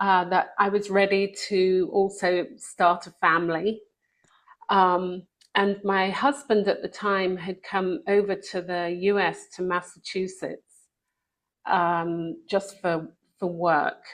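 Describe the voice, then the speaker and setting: In a British accent, a woman talks at a very slow pace with a medium pitch and fairly even intonation. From England. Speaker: author and speaker. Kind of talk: testimony.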